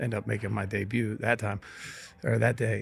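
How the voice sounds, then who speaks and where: A man with a Midwestern US accent talks at a fairly quick pace, his fairly low voice showing vocal fry and fairly even intonation. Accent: US Midwest. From Ohio, Steubenville. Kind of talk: casual interview. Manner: halting, repeats words.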